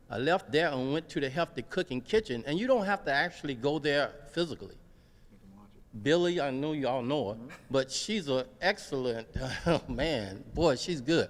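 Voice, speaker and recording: Using a normal speaking voice, a man talks at a moderate pace with lively intonation and a fairly high pitch. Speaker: veteran, audience member. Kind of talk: public comment at community meeting. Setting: gymnasium meeting with audience.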